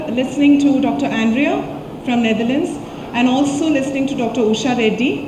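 Noticeable background noise and audible room echo around a high-pitched female voice. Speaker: storyteller, conference speaker. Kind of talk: conference talk. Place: hall.

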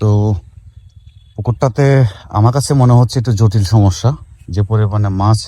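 Dark and mellow, somewhat breathy, the man's fairly low voice shows ordinary pitch variation. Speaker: fish farming video host. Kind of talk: on-site educational video. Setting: outdoors at a pond.

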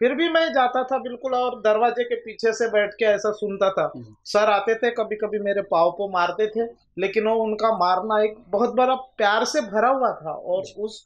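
Fairly slow pace from a man with a high pitch and ordinary pitch variation. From Maharashtra, Gondia district (Vidarbha); Maharashtra, India. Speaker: rural government doctor; guest. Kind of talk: interview; interview answer. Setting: studio. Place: studio.

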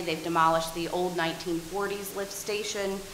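A woman with a medium-pitched voice speaks fairly slowly and with fairly even intonation, amid audible room echo and light background noise. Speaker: town staff member. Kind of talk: meeting staff report. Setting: town council meeting. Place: meeting room. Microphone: podium.

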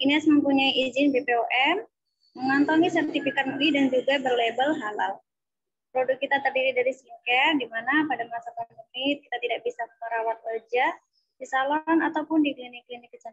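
Against a quiet background, a woman speaks at a fairly quick pace. Her voice sits at a high pitch. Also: fairly even intonation. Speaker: sponsor representative. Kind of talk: sales pitch. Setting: video call. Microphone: video call.

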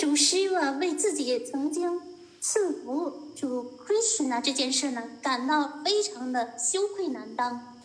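A woman with a Chinese accent, high pitch, lively intonation and a fairly slow pace, over noticeable background noise. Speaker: interpreter. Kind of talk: consecutive interpretation of a lecture. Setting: video call.

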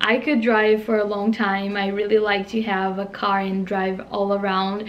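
A woman with a Brazilian accent, at a fairly slow pace. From Brazil, interior of São Paulo state. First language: Portuguese. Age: 20s. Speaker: au pair. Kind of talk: casual talk to camera. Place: home room. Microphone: phone near.

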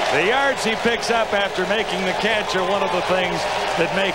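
Over loud background noise, a man speaks at a moderate pace, the sound dry with no echo. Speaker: play-by-play announcer. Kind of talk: live commentary.

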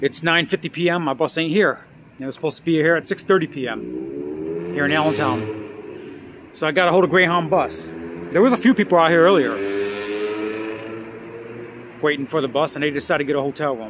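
A man talks at a fairly quick pace. The sound is dry with no echo, though noticeable background noise comes through. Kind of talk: casual vlog chat. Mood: frustrated, weary. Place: street. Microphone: phone near.

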